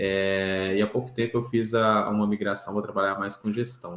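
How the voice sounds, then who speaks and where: A man talks with a Minas Gerais accent. His pace is moderate. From Brazil, Minas Gerais (Belo Horizonte). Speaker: engineering manager. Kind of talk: casual chat. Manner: halting, many fillers.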